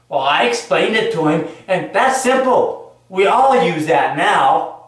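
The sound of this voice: In strong room echo, a man speaks slowly at a high pitch, his fairly bright tone making big pitch swings.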